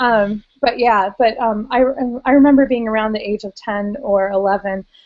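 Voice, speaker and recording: An ordinary speaking voice from a woman with an American accent, fairly high in pitch, at a moderate pace. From United States. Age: 30s. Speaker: weight loss surgery patient. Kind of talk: casual chat.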